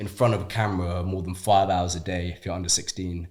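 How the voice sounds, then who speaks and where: Against a silent background on a very clean recording, a man's very deep, low voice comes out somewhat breathy and monotone, with flat intonation. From Shrewsbury, West Midlands, England. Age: young. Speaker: actor. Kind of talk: interview answer. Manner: casual, chatty.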